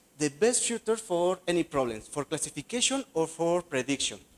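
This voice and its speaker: A man with a Spanish accent and very wide pitch swings, in a dry, close sound with no echo. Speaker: graduate student researcher. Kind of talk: conference presentation. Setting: conference session. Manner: halting.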